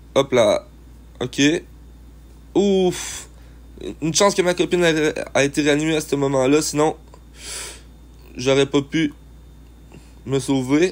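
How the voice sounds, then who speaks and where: A man's fairly high voice at a very slow pace, broken by long, frequent pauses. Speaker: gaming youtuber. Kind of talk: gameplay commentary. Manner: animated.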